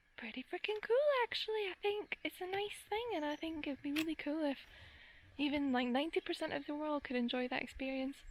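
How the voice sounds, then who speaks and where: A woman with a Glaswegian accent speaks at a fairly quick pace. Her voice is high-pitched with lively intonation. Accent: Glaswegian Scottish. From Scotland, Glasgow. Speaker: gardening vlogger. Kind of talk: casual vlog monologue.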